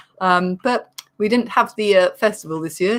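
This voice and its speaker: A woman with an English accent speaks at a medium pitch and a moderate pace. The recording is very clean, with a silent background. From England. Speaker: comedian. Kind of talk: casual chat.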